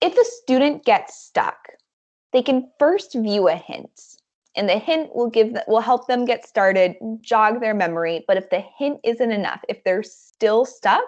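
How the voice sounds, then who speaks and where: In an unremarkable speaking voice, a woman talks at a fairly slow pace with a fairly high pitch and lively intonation over a quiet background. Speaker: edtech account manager and trainer; trainer. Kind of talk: online staff training presentation. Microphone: video call.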